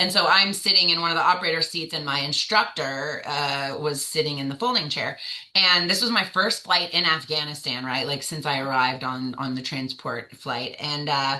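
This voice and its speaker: A woman with an American accent speaks at a very deep, low pitch and a moderate pace, with ordinary pitch variation and an animated tone. Noticeable background noise runs underneath. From US South. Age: 30s. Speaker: navy veteran. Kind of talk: interview.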